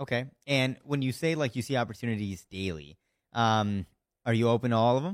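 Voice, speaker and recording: A man's lively, fairly quick voice at medium pitch, a normal speaking voice. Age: 20s. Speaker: podcast host. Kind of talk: casual interview; show intro.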